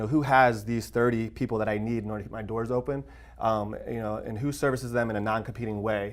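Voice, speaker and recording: A man talks at a very fast pace and medium pitch. His intonation is flat and monotone. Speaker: fitness business coach. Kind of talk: casual podcast chat.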